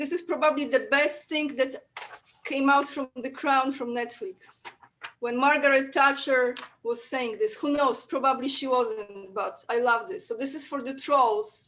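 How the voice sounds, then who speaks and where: A woman with a Polish accent speaks at a fairly slow pace. Her high voice has a bright, sharp tone and ordinary pitch variation. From Poland. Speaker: guest. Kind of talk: casual chat.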